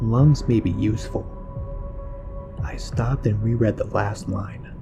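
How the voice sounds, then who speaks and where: Music plays in the background as a man talks at a fairly slow pace, his medium pitch varying in an ordinary way. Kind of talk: horror story narration, first-person creepypasta reading.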